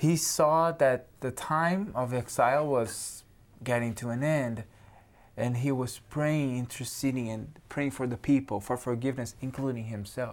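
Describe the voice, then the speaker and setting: A man speaks at a fairly slow pace with a Brazilian accent. His pitch is medium, with ordinary variation. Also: very clean recording, silent background. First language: Portuguese. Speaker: theology student. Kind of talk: religious discussion.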